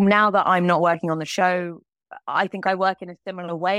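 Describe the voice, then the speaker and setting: With a southern English accent, a woman talks at a fairly quick pace. Her pitch is fairly low. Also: dry, close sound with no echo. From England. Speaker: animator and TV director. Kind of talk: interview conversation.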